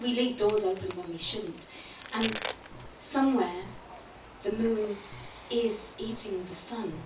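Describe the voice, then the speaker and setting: With long, frequent pauses and noticeable background noise, a woman with a fairly high pitch and ordinary pitch variation speaks at a fairly slow pace. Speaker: spoken word poet. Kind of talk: spoken word poetry performance. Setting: live performance space.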